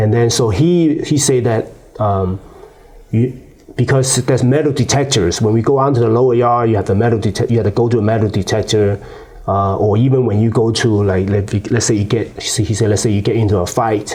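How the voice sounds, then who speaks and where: A voice with a Chinese accent at a fairly quick pace, very even in loudness, with ordinary pitch variation and noticeable background noise. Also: man, medium pitch for a man. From China. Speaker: former prisoner, youth advocate. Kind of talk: interview. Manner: halting, many fillers and repeats.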